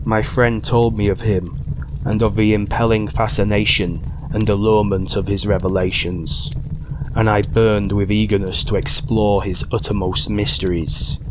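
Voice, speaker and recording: In a Yorkshire accent, a man with a fairly low pitch talks at a moderate pace with fairly even intonation and very even loudness over noticeable background noise. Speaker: audiobook narrator. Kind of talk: horror story reading.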